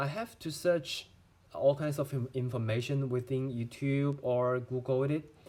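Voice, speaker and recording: This man has a Chinese accent and a fairly high pitch. His dark, mellow tone stays fairly even in intonation at a fairly slow pace. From China. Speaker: medical student. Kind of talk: tutorial. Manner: halting.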